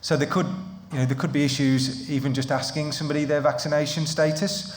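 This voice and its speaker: Here a man talks with a Midlands accent in monotone, flat intonation. Audible room echo and noticeable background noise are present. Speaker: employment lawyer. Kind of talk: seminar presentation. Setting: live seminar with in-person audience. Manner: hesitant with frequent ums and repetitions.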